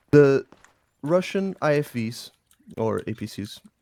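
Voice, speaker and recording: In a dark, mellow tone with a non-native accent, the speaker comes through on a very clean recording with a silent background. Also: man. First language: not English. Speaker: game clan instructor. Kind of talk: training briefing. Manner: halting.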